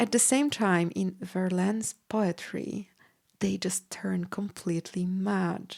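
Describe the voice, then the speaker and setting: With a Polish accent, a woman speaks at a very slow pace. Her voice sits at a medium pitch, and her intonation stays fairly even. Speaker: podcast host and pianist. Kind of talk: educational podcast talk. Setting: home studio with piano.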